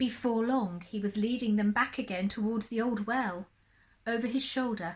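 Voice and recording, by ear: A natural voice reads aloud. Its intonation is fairly even.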